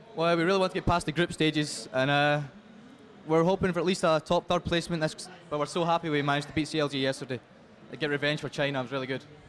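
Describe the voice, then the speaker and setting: Talking very fast, a man with a Scottish accent speaks at a fairly high pitch with fairly even intonation. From Scotland. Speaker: esports player. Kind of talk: on-stage interview. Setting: stage at convention event.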